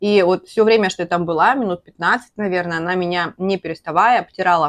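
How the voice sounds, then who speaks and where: Against a quiet background, a woman talks at a fairly quick pace and a fairly low pitch, with ordinary pitch variation. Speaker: vlogger. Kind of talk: casual vlog chat, storytelling while eating. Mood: animated, emotional storytelling. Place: home room. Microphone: lapel.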